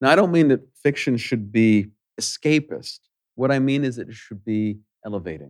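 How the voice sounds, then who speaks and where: At a moderate pace, a man speaks in an ordinary speaking voice at medium pitch, with lively intonation and big swings in loudness. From Edmonton, Alberta, Canada. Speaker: novelist and educator. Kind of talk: on-stage conversation. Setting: stage with audience.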